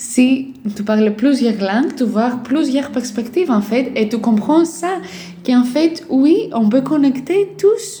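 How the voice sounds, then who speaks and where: High-pitched female voice with a Greek accent at a very slow pace, amid noticeable background noise. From Greece. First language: Greek (speaking French). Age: 20s. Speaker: life and parenting coach. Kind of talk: casual vlog monologue. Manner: hesitant, many fillers.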